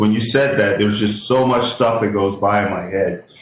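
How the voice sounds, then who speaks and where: Noticeable background noise runs behind a man's voice. He speaks at a moderate pace with fairly even intonation. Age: 60s. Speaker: inventor and humanitarian worker. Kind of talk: radio interview. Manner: halting, many restarts; candid, plain-spoken.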